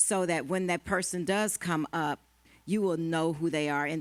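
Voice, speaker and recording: A normal speaking voice moves at a moderate pace with fairly even intonation, in a very clean recording with a silent background. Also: woman. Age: 60s. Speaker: panelist at a women's marriage conference. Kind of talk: panel discussion.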